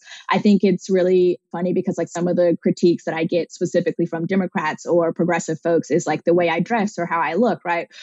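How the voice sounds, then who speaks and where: Speaking at a very fast pace with hardly any pauses, a woman uses a fairly low, monotone, flat delivery in an American accent. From southern Oklahoma. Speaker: state legislator. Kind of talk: interview conversation. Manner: hesitant with many fillers.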